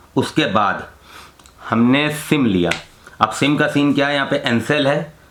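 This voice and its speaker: Noticeable background noise accompanies a man whose voice sits fairly high in pitch. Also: ordinary pitch variation. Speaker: travel vlogger. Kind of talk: casual travel vlog.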